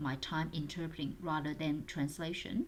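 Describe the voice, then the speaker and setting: A woman's very deep, low voice at a moderate pace with fairly even intonation. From China. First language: Mandarin and Cantonese. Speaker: interpreter and translator. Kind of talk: tutorial talk. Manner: halting, many fillers.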